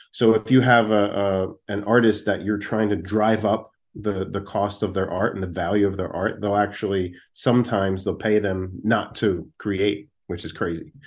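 With an American accent, a man in an ordinary speaking voice talks at a moderate pace with hardly any pauses, his fairly low pitch and fairly even intonation captured in a very clean recording with a silent background. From South Jersey, Philadelphia suburbs. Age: 40s. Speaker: comedian and artist. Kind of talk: casual chat.

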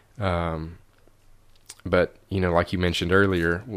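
A man with a Tennessee accent and a very deep, low pitch, on a very clean recording with a silent background. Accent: Southern US (Tennessee). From Middle Tennessee, near Kentucky line. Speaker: realtor and outdoor video maker. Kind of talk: casual chat. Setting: at host's house.

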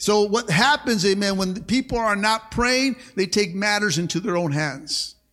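Against music in the background, a man speaks at a moderate pace in a high voice with ordinary pitch variation. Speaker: pastor. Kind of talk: sermon to a live congregation. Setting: church. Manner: animated, rhythmic call-and-response preaching, punchy short exhortations; repeats words and fillers, stops and restarts, punctuates with 'amen'.

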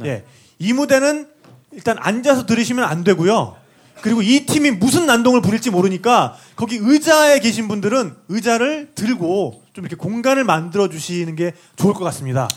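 A man speaks with a high pitch and an animated tone. His pace is moderate. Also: lively intonation. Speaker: podcast co-host emceeing a live concert. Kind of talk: live event hosting banter. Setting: stage with audience.

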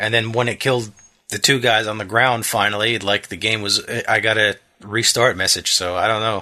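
A man with an American accent speaks quietly at a moderate pace, his bright, sharp tone held in a monotone, flat intonation. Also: medium pitch for a man. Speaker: podcast co-host. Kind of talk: casual chat.

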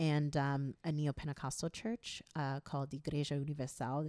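In an American accent, a voice with a dark, mellow tone comes through dry and close with no echo, very cleanly recorded against a silent background. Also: woman. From New York, of Haitian descent. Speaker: anthropologist, university lecturer. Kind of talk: casual interview chat.

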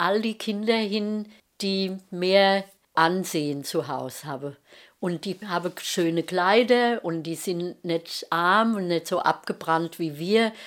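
A woman speaks at a very slow pace, at medium pitch with ordinary pitch variation. The recording is very clean, with a silent background. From Rhein-Main area, Germany. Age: 70s. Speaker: mother of podcaster. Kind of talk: casual chat. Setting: at home.

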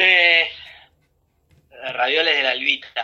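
A man talking at a very slow pace. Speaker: advertising agency executive. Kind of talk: interview.

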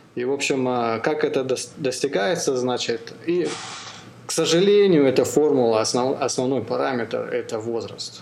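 With audible room echo and noticeable background noise, a man speaks at a moderate pace and medium pitch, with ordinary pitch variation and long, frequent pauses. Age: 40s. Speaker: podcast host and amateur ultramarathon runner. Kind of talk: casual interview chat. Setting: call. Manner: halting, many fillers.

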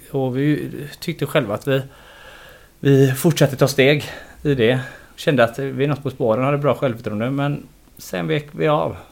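This man talks at a moderate pace and medium pitch. His pitch varies in an ordinary way, and he leaves long, frequent pauses. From Gothenburg, Sweden. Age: 40s. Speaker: football head coach. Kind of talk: casual interview.

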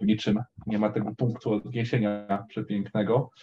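The man's tone is dark and mellow. His intonation is fairly even, at a moderate pace. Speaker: caller. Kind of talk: casual faith conversation. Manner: halting.

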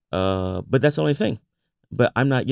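In a very clean recording with a silent background, a man talks at a fairly quick pace with lively intonation in a New York accent. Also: dry, close sound with no echo. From US Northeast, Bronx, New York. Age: 40s. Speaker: entrepreneur and baker. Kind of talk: interview.

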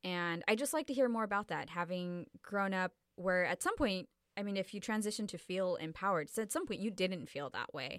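This woman has a normal speaking voice at medium pitch, with lively intonation and a fairly quick pace. The recording is very clean and the background silent. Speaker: podcast host. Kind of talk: casual interview.

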